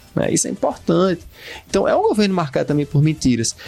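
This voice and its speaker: A man's voice with music in the background. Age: 40s. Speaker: podcast co-host, humanities teacher. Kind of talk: casual educational discussion.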